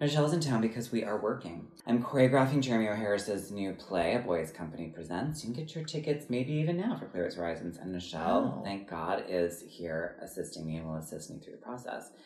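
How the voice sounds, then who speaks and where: With an American accent, a man with a fairly low pitch talks at a very fast pace, his pitch swinging very widely and his loudness in big swings, amid audible room echo. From Wisconsin. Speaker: podcast host and choreographer. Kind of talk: casual chat.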